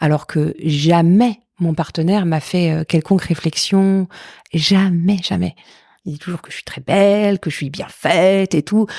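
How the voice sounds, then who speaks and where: This woman's dark, mellow voice sits fairly low in pitch, with fairly even intonation and a dry, close sound with no echo over a very clean, silent background. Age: 40s. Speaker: stage comedian. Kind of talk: interview answer. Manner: frank, candid.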